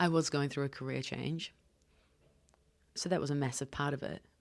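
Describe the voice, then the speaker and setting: A woman speaks in a New Zealand accent, her pitch very deep and low. The intonation is monotone and flat on a very clean recording with a silent background. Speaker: podcast host. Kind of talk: solo podcast monologue. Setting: hotel room.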